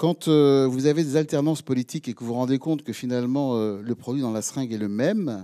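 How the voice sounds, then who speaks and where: Against a quiet background, a man talks at a fairly quick pace in a dark, mellow tone. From France. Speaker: mayor, rural mayors' association leader. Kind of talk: speech. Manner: halting. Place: hall. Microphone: handheld.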